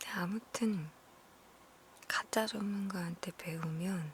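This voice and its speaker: Very slow, soft-spoken whispering with noticeable background noise. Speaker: ASMR streamer / content creator. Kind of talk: ASMR whisper chat, live-stream style talk to viewers. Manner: whispered, soft-spoken.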